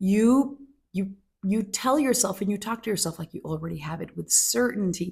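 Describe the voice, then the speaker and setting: Somewhat breathy, a woman speaks at medium pitch and a moderate pace with very wide pitch swings, on a very clean recording with a silent background. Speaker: manifestation coach. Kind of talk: casual talk to camera. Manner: halting, self-correcting at times.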